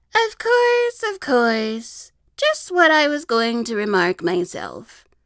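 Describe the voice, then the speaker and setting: A woman does a hoarse, high-pitched put-on character voice at a very slow pace. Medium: read story.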